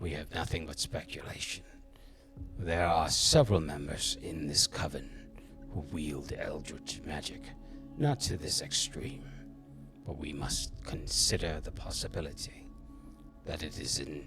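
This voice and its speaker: Over clear music in the background, a man does a put-on character voice at a moderate pace with long, frequent pauses. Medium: actual play. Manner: cold, imperious, clipped.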